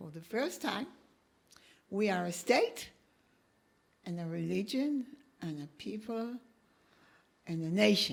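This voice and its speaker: In an Israeli accent, the speaker talks at a fairly slow pace with lively intonation. Long, frequent pauses break up the speech, and loudness swings widely. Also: woman, medium pitch for a woman. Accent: Israeli Hebrew accent in English. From Israel (kibbutz). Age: 70s. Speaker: professor. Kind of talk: interview conversation.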